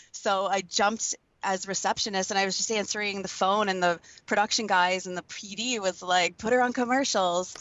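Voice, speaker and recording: With a plain, everyday voice, a woman of medium pitch talks at a fairly quick pace and with fairly even intonation. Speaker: voice over artist. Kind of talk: interview answer. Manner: casual, chatty.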